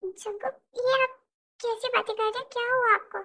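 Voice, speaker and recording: A woman speaks in a put-on character voice at an extremely high pitch, her delivery monotone and flat at a moderate pace. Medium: audio drama.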